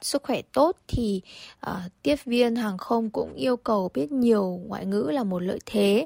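The recording is very clean, with a silent background and a dry, close sound with no echo. A woman with a normal speaking voice talks using lively intonation. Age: 20s. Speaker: airline tourism graduate, former airline intern. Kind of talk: radio interview.

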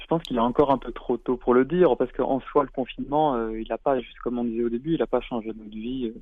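A man talks at a very fast pace with hardly any pauses, his medium-pitched voice keeping fairly even intonation. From France. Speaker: comic book author. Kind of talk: interview. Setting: phone call. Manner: hesitant, repeats words.

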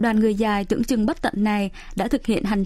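This woman's voice sits fairly high. It has a dark, mellow tone. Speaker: radio travel segment host. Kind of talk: scripted narration. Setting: studio. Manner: formal.

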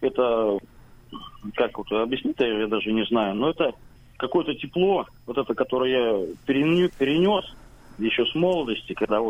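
The man's voice sits fairly high and carries lively intonation. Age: 40s. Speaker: radio amateur. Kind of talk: radio interview.

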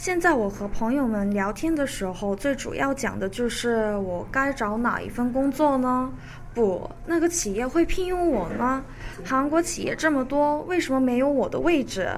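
Audible room echo and noticeable background noise around speech at a moderate pace. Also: woman, high pitch for a woman. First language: Korean (speaking Chinese). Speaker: recent graduate, law office employee. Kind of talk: radio interview.

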